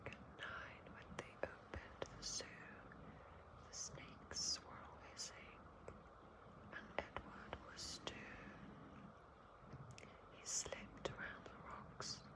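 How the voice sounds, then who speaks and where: Loud background noise runs under the speech. The pace is very slow, with long, frequent pauses. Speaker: ASMR reader. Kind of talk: ASMR children's book reading to help sleep.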